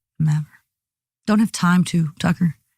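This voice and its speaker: Her voice is somewhat breathy and fairly low as a woman talks at a fairly quick pace in a dry, close sound with no echo. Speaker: airline pilot. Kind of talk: interview. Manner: fast.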